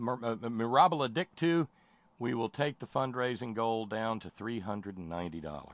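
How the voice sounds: Lively intonation in a natural reading voice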